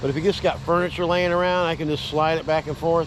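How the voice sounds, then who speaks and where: A man talks at a fairly quick pace and a fairly high pitch. Noticeable background noise is present. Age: 60s. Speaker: pressure washing business owner. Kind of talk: tutorial. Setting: outdoors. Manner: casual, conversational.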